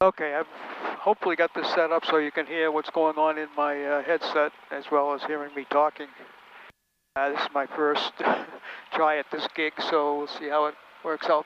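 With noticeable background noise and a dry sound with no echo, a man speaks at a moderate pace in a monotone, flat intonation, broken by long, frequent pauses. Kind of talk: casual vlog commentary. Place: plane. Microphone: headset.

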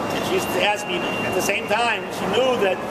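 Loud background noise surrounds a man as he speaks. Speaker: rabbi. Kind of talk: eulogy for his mother, personal reminiscences. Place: station. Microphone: phone near.

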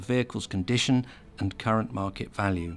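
A man at a fairly quick pace, ordinary pitch variation, music in the background

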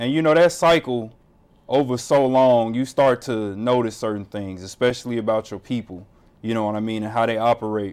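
A man with an American accent at a fairly quick pace and with ordinary pitch variation. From Chicago. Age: 30s. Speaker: community organization volunteer and radio host. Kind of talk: interview. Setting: studio. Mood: earnest, reflective. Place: studio.

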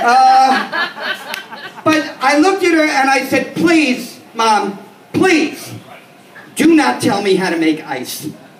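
A man with an American accent speaks at an extremely high pitch with very wide pitch swings, with light background noise and audible room echo. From New York City, the Bronx. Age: 50s. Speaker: stand-up comedian. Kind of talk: stand-up. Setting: stage with small audience. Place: bar. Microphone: pa.

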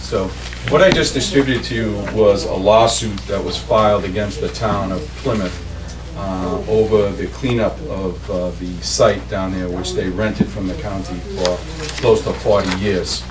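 A man's fairly low-pitched voice, with clear music in the background. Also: moderate pace. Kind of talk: public meeting presentation. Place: meeting room. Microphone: camera far.

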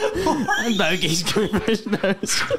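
A man's voice comes through over loud background noise. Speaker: comedy podcast host. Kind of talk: casual chat. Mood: jokey, amused. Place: studio. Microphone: studio mic.

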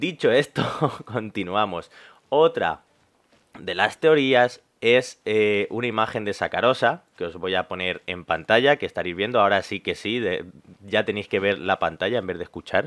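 A man's fairly low voice with lively intonation over a quiet background. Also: fairly slow pace. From Spain. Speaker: gaming youtuber. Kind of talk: casual video commentary; commentary over gameplay. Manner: calm, relaxed; hesitant fillers (eh, vale). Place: home room. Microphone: headset.

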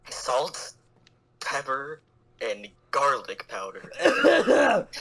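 A man speaks very slowly. He uses a put-on, raspy character voice. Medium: comedy sketch. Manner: gruff, bossy, sarcastic.

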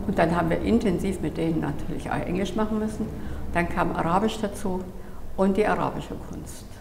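A woman's medium-pitched voice at a fairly quick pace, with fairly even intonation and noticeable background noise. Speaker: gallery owner. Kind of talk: interview answer. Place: home room.

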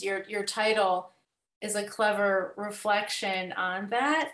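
Audible room echo carries a woman's fairly high voice as she speaks at a fairly slow pace against a quiet background. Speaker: audience member, poet. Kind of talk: Q&A question. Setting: video call. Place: home room. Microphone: webcam.

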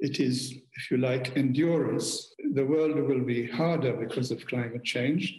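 A man speaks at a fairly slow pace with fairly even intonation and hardly any pauses. There is audible room echo. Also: quiet background. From Malta. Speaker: former diplomat; speaker. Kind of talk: keynote speech. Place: home room. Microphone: webcam.

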